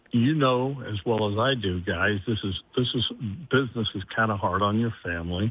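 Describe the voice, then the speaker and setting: In a Midwestern US accent, a man speaks at a moderate pace with a fairly low pitch and fairly even intonation. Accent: US Midwest. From Columbus, Ohio. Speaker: sports anchor. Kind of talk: casual interview.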